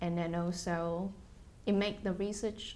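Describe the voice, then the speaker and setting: A woman speaks at a medium pitch and a fairly slow pace. Room echo is audible. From Taiwan. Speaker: biomedical engineer and company executive. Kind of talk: oral history interview.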